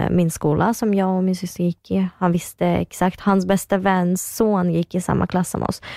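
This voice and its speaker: A woman's fairly low-pitched voice with a dark, mellow tone, monotone, flat intonation, very even loudness and a moderate pace, in a very clean recording with a silent background and a dry, close sound with no echo. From Kyrgyzstan. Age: 20s. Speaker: reality TV personality and journalism student. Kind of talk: casual interview chat.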